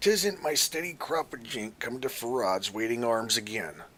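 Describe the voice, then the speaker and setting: A man's raspy, put-on character voice at a medium pitch, with very wide pitch swings and a moderate pace. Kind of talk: put-on odd character voice. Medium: actual play. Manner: cryptic, sly, mumbling.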